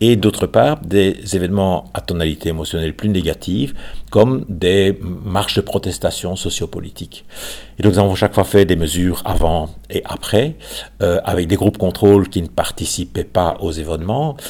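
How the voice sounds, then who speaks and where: The speaker talks at a moderate pace with ordinary pitch variation. Noticeable background noise runs underneath. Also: man, very deep, low pitch for a man. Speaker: retired psychology professor. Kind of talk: interview.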